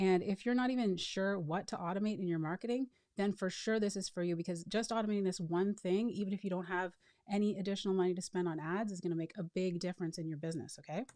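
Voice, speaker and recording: A woman speaks very fast in a dark, mellow tone. Her intonation stays fairly even. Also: medium pitch for a woman. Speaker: marketing automation consultant. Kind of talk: webinar sales training.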